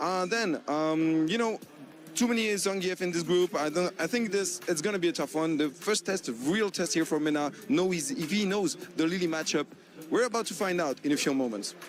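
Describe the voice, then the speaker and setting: Music plays in the background as a man speaks at a moderate pace. His pitch is high. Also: ordinary pitch variation. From France. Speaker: esports analyst. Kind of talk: esports preview segment.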